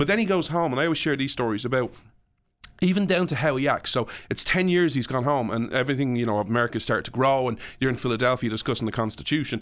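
With an Irish accent, a man speaks at a very fast pace and a medium pitch. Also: ordinary pitch variation. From Ireland. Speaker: podcast guest and public speaker. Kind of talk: casual interview. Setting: studio.

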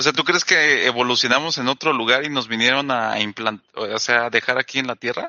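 Here a man uses an ordinary speaking voice at a medium pitch and a fairly quick pace, with ordinary pitch variation. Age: 20s. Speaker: podcast co-host. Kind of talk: casual chat.

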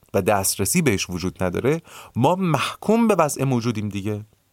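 On a very clean recording with a silent background, a man speaks at medium pitch with very wide pitch swings. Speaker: podcast host. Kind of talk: solo explanatory monologue. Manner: measured, conversational.

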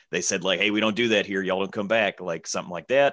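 Against a quiet background, a man with a Southern accent talks very fast at a fairly low pitch. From Alabama, US South. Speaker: comedian. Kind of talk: casual chat.

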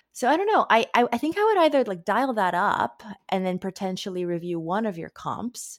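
At a fairly quick pace, a woman with an ordinary speaking voice and medium pitch is heard in a dry, close sound with no echo. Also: lively intonation. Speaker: literary agent. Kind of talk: casual chat.

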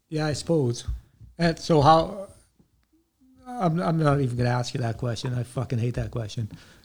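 Somewhat breathy and fairly high in pitch, this man talks at a moderate pace with ordinary pitch variation and long, frequent pauses. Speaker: podcast host, army veteran. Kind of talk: interview.

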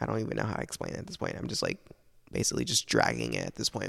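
In a dramatic tone, a man rushes along at a very fast pace. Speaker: podcaster. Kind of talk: late-night solo rant, rambling confessional monologue. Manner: rambling, hesitant, full of fillers and restarts; emotional, self-doubting, dramatic and candid.

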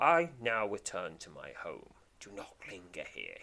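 A man in a put-on character voice, hissing, at a moderate pace.

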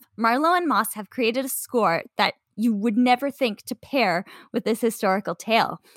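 Speaking at a moderate pace with lively intonation, a woman with a fairly high pitch has an unremarkable speaking voice, captured in a dry, close sound with no echo on a very clean recording with a silent background. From Canada. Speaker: podcast co-host. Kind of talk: casual chat; scripted narration.

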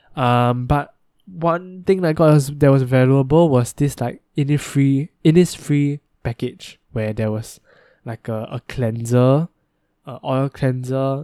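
A man speaks very slowly at medium pitch, with a dark, mellow tone, ordinary pitch variation and big swings in loudness. The sound is dry and close with no echo, on a very clean recording with a silent background. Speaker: solo podcaster. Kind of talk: casual monologue. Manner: hesitant, many filler words.

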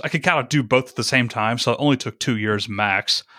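With an American accent, a man speaks at a medium pitch in a bright, sharp tone, captured in a very clean recording with a silent background and a dry, close sound with no echo. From US South, small-town Georgia. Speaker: podcasting coach and YouTuber. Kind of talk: casual interview chat.

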